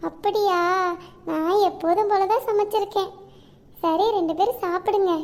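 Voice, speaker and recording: Using a cartoonish character voice at an extremely high pitch, a woman speaks very slowly with fairly even intonation. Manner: warm, homely.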